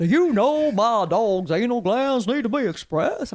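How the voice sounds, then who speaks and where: Putting on a character voice with a Southern US accent, a man drawls at a moderate pace in an extremely high pitch. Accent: Southern American. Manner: exaggerated drawl.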